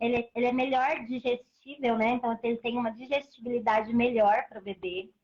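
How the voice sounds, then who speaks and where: A woman speaks at a moderate pace in a high pitch. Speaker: breastfeeding advocate and mother. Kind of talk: live stream interview. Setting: online live stream.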